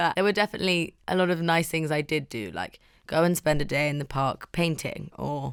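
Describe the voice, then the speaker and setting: Pitch shifts in an ordinary way. Nothing is heard in the background of this very clean recording. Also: woman, very deep, low pitch for a woman, fairly quick pace. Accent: London. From North London. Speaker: university community member. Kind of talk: casual chat.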